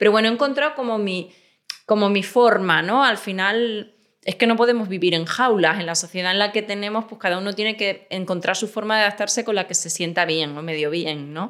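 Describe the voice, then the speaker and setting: At a fairly quick clip, an unremarkable speaking voice rises and falls with ordinary pitch variation. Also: woman, medium pitch for a woman. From Extremadura, Spain. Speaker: crime novelist. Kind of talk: interview conversation.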